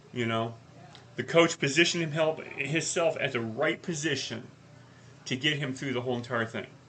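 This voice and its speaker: A loud man with a bright, sharp tone and fairly high pitch speaks at a moderate pace. His pitch varies in an ordinary way, and he leaves long, frequent pauses. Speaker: life coach podcast co-host. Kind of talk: casual chat. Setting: live podcast.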